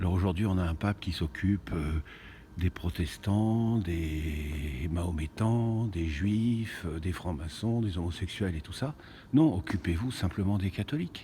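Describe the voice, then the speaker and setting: Very deep and low, a man's voice comes across in a dark, mellow tone that is somewhat breathy. He talks at a fairly slow pace with ordinary pitch variation. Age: 60s. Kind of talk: casual video monologue. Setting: inside a cathedral. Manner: halting, many hesitations.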